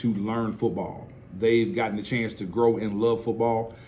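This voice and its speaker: At a moderate pace, a man speaks at medium pitch with audible room echo. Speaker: football coach. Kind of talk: interview. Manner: loud; energetic.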